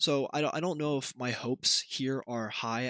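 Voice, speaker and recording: Recorded very cleanly against a silent background, a man talks quietly at a medium pitch with ordinary pitch variation, the sound dry and close with no echo. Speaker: YouTuber and streamer. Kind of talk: casual vlog monologue. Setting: at home, shared building. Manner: halting, many fillers and restarts; kept quiet to limit noise.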